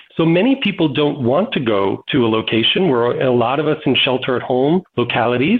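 Fairly high in pitch, this man has a plain, everyday voice and lively intonation. He talks at a fairly quick pace with very even loudness. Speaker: marketing executive. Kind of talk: panel discussion. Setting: video call.

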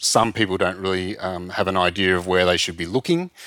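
A man with an Australian accent speaks at a very deep, low pitch with fairly even intonation. The recording is very clean, with a silent background. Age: 50s. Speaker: travel industry consultant. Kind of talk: interview. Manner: halting.

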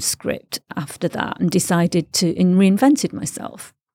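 A woman's medium-pitched voice in a Mancunian accent, dark and mellow in tone, dry and close with no echo, on a very clean recording with a silent background. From northern England (Stretford, Manchester). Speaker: podcast host, expat. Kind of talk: interview. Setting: studio.

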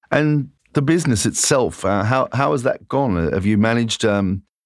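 The recording is very clean with a silent background and a dry, close sound with no echo, as a man in an ordinary speaking voice talks at a moderate pace with ordinary pitch variation. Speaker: podcast host and magazine editor. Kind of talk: interview.

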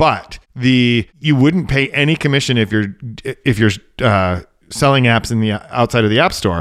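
An unremarkable speaking voice from a man, medium in pitch with ordinary pitch variation, very even loudness and a moderate pace, on a very clean recording with a silent background. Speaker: podcast co-host and tech writer. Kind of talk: casual tech podcast chat.

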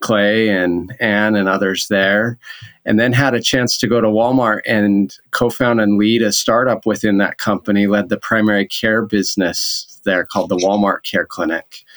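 Delivered at a moderate pace with hardly any pauses, this voice with a Utah accent keeps a monotone, flat intonation and very even loudness on a very clean recording with a silent background. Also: man. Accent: American (Utah). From Utah (Orem). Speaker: healthcare executive. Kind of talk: interview.

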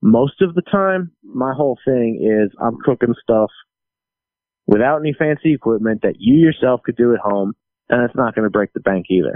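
In an American accent, a normal speaking voice moves at a moderate pace with lively intonation. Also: man, medium pitch for a man. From New Jersey and St. Louis. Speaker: touring guitarist. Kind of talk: casual chat.

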